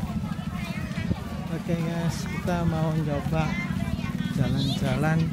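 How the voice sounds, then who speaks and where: A man is speaking in a dry sound with no echo. Music plays clearly in the background. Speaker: travel vlogger. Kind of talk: casual vlog chat. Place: beach. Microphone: phone near.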